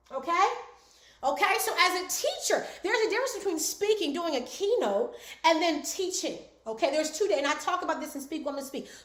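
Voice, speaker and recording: An animated woman at a fairly quick pace, her pitch extremely high, with audible room echo. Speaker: speaking coach. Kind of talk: online class. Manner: fast.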